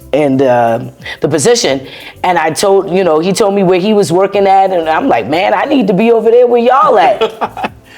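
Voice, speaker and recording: A woman speaks at medium pitch with very wide pitch swings and very even loudness. Noticeable background noise is present. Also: moderate pace. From US South, Charleston, South Carolina. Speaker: US veteran. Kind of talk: interview.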